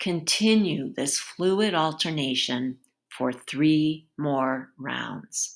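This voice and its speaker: A woman with a very deep, low voice talks at a very slow pace with lively intonation. The recording is very clean, with a silent background. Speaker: yoga instructor. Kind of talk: guided movement class. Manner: brisk, directive; rhythmic, energetic cueing.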